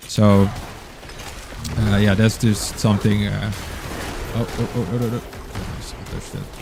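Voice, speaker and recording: There is noticeable background noise as a man speaks with a Dutch accent. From Netherlands. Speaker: gaming streamer. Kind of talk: live gameplay stream commentary. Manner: halting, many fillers.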